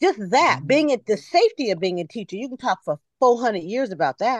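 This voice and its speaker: A woman's high voice, fairly quick, with very wide pitch swings, in a dry, close sound with no echo over a quiet background. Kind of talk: casual chat. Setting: video call.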